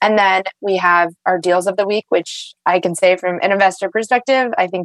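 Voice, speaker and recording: A woman speaks at medium pitch and a fairly quick pace in an unremarkable speaking voice. The sound is dry and close, with no echo. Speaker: climate tech investor. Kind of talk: casual interview.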